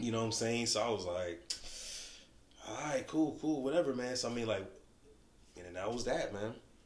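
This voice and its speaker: Somewhat breathy and with an American accent, the speaker uses lively intonation and long, frequent pauses amid audible room echo. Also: man, medium pitch for a man, moderate pace. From Buffalo area, New York. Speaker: podcast host. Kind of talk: casual chat.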